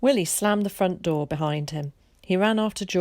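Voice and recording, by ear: A natural-sounding read-aloud voice, pitch varying in an ordinary way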